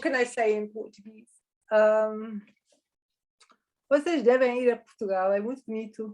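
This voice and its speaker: At a moderate pace with long, frequent pauses, a woman speaks at a fairly high pitch with ordinary pitch variation and big swings in loudness. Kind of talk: casual conversation.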